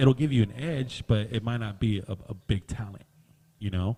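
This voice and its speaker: In a Southern California accent, a man talks with a dark, mellow tone, a fairly low pitch and ordinary pitch variation. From Southern California (Downey). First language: Spanish. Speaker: podcast host. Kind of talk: casual podcast discussion.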